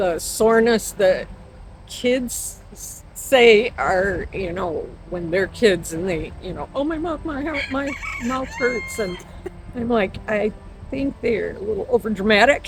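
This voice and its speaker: Amid noticeable background noise, a woman with an American accent speaks at a very slow pace with long, frequent pauses, a fairly high pitch and lively intonation. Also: big swings in loudness. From Michigan, US Midwest. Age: 60s. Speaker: interviewee, goat farmer. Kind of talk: casual interview chat.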